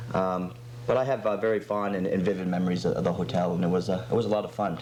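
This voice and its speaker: Over noticeable background noise and audible room echo, a man talks very fast in a fairly low voice with ordinary pitch variation and very even loudness. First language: French. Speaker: chef. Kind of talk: casual interview chat. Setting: TV studio, live talk show.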